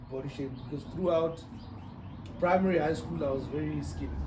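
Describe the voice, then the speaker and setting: A man's fairly high voice comes through with noticeable background noise and audible room echo. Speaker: podcast co-host. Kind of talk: casual chat.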